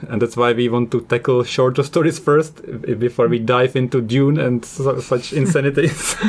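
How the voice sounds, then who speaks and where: A man's medium-pitched voice with a non-native accent, fairly even intonation and very even loudness, amid noticeable background noise. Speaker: podcast host. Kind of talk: casual chat. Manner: fast, mumbling.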